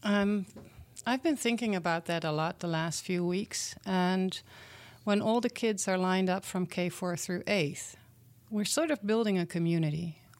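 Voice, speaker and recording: In a very clean recording with a silent background, a woman speaks at a medium pitch and a moderate pace with ordinary pitch variation. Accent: Dutch. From Netherlands. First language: Dutch. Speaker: community program founder. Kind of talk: interview.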